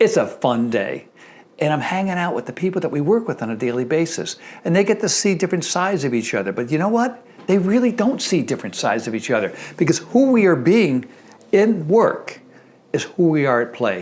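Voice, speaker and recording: With an American accent, the speaker talks at a fairly quick pace with very wide pitch swings. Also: man, high pitch for a man. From Connecticut. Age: 70s. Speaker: dentist and dental educator. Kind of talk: motivational talk to camera. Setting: filmed video.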